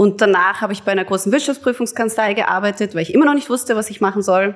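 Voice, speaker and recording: A woman talks very fast at a medium pitch, her pitch varying in an ordinary way. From Hamburg, Germany, then Lower Austria from 2000. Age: 30s. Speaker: food producer and brand founder. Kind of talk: casual interview chat.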